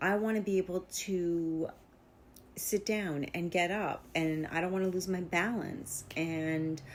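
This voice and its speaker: A woman's unremarkable speaking voice, fairly low in pitch, fairly slow, with fairly even intonation. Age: 50s. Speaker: vlogger. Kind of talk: casual monologue. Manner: conversational with fillers.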